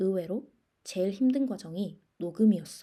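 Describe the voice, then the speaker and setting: In a dark, mellow tone, a woman speaks at a fairly slow pace with medium pitch and ordinary pitch variation. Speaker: podcast host. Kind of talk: scripted solo podcast monologue. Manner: deliberately slowed, careful pace.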